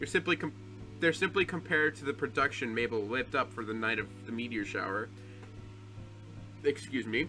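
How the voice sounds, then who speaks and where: Over music in the background, a man at a medium pitch talks at a fairly quick pace with lively intonation and long, frequent pauses. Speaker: gaming video creator. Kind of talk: reading game text aloud. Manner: fast.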